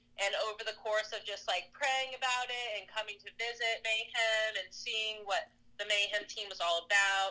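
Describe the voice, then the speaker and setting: A woman with an ordinary speaking voice talks at a moderate pace and a fairly high pitch. Her intonation is fairly even, with hardly any pauses. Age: 30s. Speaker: CrossFit athlete and coach. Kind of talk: interview.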